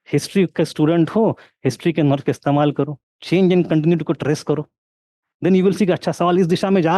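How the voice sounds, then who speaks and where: This man's voice sits high in pitch, with ordinary pitch variation, a dark, mellow tone and a non-native accent, recorded with a dry, close sound and no echo. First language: not Hindi (speaking Hindi). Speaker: history teacher. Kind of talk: online lecture with live Q&A. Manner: code-switching Hindi and English.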